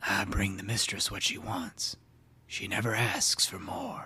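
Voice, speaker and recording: A raspy, whispered put-on character voice at a fairly slow pace. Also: man. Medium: read story. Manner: terse, flat, unhurried.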